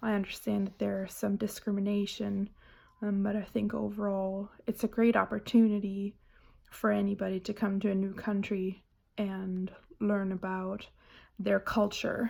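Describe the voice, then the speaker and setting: In a German accent, a woman speaks at a moderate pace and medium pitch, her dark, mellow tone monotone and flat on a very clean recording with a silent background. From Germany. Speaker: student. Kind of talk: book report presentation. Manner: hesitant, many fillers.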